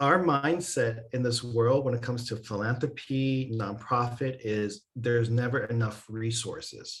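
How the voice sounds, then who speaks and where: With hardly any pauses, a man speaks somewhat breathily at a medium pitch. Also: fairly slow pace. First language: not English. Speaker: workshop facilitator. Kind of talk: online workshop presentation. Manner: animated.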